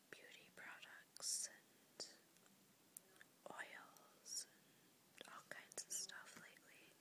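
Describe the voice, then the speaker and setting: Someone soft-spoken whispers at a very slow pace over noticeable background noise. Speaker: beauty vlogger. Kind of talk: casual vlog chat, page-through commentary. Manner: soft ASMR whisper. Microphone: phone near.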